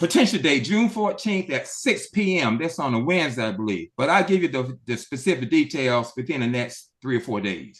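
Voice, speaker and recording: Hardly pausing, a man speaks at a moderate pace in a fairly high pitch with very wide pitch swings. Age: 70s. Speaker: club member, author. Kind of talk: casual chat. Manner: halting.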